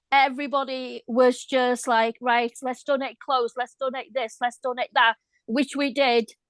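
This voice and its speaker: Over a quiet background, a woman with a Welsh accent speaks at a moderate pace in a high, monotone, flat voice, the sound dry and close with no echo. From Wales. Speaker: viewer. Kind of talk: casual chat.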